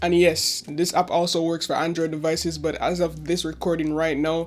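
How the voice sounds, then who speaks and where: Quiet and monotone, a man talks at a fairly quick pace with flat intonation and a fairly high pitch. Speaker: tech YouTuber. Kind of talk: tech review. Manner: quiet, low volume.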